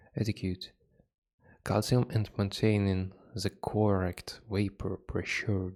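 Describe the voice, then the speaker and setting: On a very clean recording with a silent background, a man with a non-native accent speaks at a very slow pace in a fairly low pitch. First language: not English. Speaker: hobby gardener reading an article. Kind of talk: reading aloud with comments. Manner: halting.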